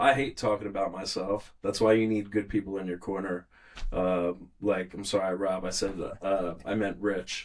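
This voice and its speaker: A man talks with a normal speaking voice, pitched fairly low. His pace is moderate and his intonation fairly even. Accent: American. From New York, Long Island. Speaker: musician and producer. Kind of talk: casual chat.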